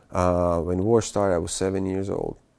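A man with a Bosnian accent and a very deep, low pitch speaks at a fairly slow pace. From Bosnia (eastern, small town). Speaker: war refugee, finance worker. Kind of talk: interview testimony. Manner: halting, many fillers and repetitions.

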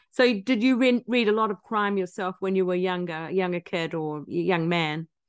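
With a plain, everyday voice, a woman speaks at a medium pitch and a moderate pace with hardly any pauses, the sound dry and close with no echo. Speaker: podcast host. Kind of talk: interview.

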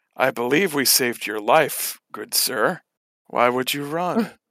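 This is a put-on character voice with a raspy sound. The pace is fairly slow. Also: man, medium pitch for a man. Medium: actual play. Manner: terse, formal.

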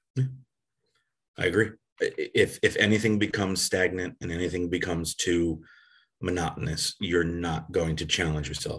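A man with an American accent speaks at a very deep, low pitch. His pace is moderate, and the background is quiet. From US Northeast (Connecticut / New York area). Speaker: athletic trainer. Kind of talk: interview.

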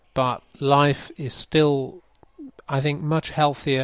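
With an English accent, a man speaks very slowly in a fairly high pitch and a monotone, flat intonation against a quiet background. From England. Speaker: podcast host and curator. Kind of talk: interview conversation.

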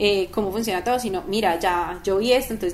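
Using an ordinary speaking voice, a woman of medium pitch speaks at a moderate pace with ordinary pitch variation. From Colombia, Manizales. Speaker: startup co-founder. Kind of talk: interview.

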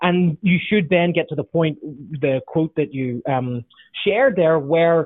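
With a Northern Irish accent, a man speaks at a fairly slow pace. His pitch is fairly high, with ordinary variation. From Northern Ireland. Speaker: leadership author and consultant. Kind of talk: interview.

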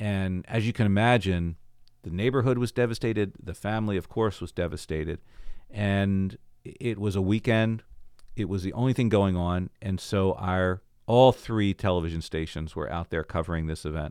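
In an American accent, a man speaks with an ordinary speaking voice, fairly low in pitch, at a moderate pace with ordinary pitch variation. The recording is very clean, with a silent background. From Baltimore, Maryland, US. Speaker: cantor, former TV reporter and police officer. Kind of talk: interview storytelling.

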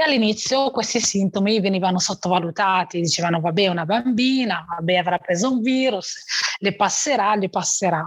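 A woman's voice with very even loudness and ordinary pitch variation, against noticeable background noise. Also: medium pitch for a woman, fairly quick pace. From Morocco. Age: 30s. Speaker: heart transplant patient and author. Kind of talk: personal life story interview.

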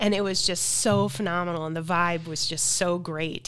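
In a very clean recording with a silent background, a woman speaks at a moderate pace with a fairly low pitch and fairly even intonation. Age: 50s. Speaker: life coach. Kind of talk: interview. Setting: studio.

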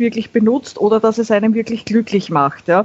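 This voice carries a Viennese accent and sounds somewhat breathy. The intonation stays fairly even. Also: woman. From Austria, Vienna. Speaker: YouTuber on minimalism. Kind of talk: casual chat.

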